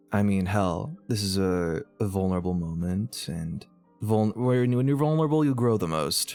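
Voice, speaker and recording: Music plays behind a man with a fairly low voice. He talks at a moderate pace with lively intonation. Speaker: online content creator. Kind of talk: casual talk to camera. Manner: rambling, casual.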